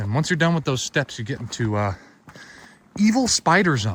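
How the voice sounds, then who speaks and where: A man talks at a moderate pace with very wide pitch swings and a somewhat breathy quality, and the sound is dry and close with no echo. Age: young. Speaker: hiking vlogger. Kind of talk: vlog narration while hiking. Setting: outdoors on a mountain trail. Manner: casual.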